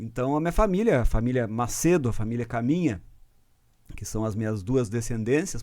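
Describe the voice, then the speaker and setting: Lively intonation marks this man's speech. His pitch is medium. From southern Brazil, Rio Grande do Sul frontier (Bagé / Lavras do Sul). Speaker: guitarist. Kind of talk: casual interview. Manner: hesitant, repeats words.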